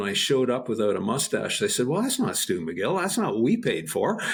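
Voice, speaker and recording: With a Canadian accent and vocal fry, a man speaks at fairly high pitch that swings very widely. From Canada. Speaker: spine researcher and professor. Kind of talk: casual interview chat. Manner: halting.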